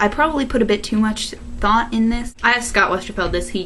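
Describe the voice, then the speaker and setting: A woman with a Chicago accent speaks at a fairly quick pace amid noticeable background noise and audible room echo. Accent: Chicago accent, self-described as weird. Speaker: video blogger. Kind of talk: Q&A vlog. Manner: animated.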